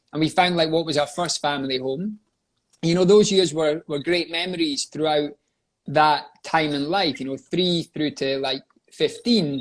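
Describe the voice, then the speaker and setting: With a Scottish accent, a man talks at a moderate pace in a fairly high pitch with ordinary pitch variation. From Scotland. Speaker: life coach and coaching company owner. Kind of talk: interview, personal life story. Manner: conversational with frequent fillers.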